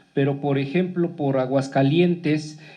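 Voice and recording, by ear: A man speaks at a fairly high pitch with fairly even intonation, and the room echo is audible.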